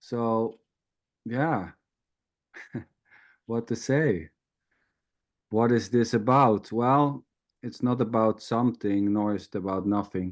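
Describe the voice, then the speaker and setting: Taking long, frequent pauses, a man with a medium pitch talks at a very slow pace with ordinary pitch variation against a quiet background. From Netherlands. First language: Dutch. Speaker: spiritual teacher. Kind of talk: informal spiritual talk. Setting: video call.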